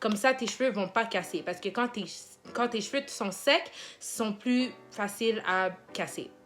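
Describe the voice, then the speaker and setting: Lively intonation from a woman with a fairly high pitch, at a fairly slow pace with long, frequent pauses, over music in the background. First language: English (speaking French). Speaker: hair care vlogger and nursing assistant. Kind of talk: hair care tutorial. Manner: casual, with hesitations.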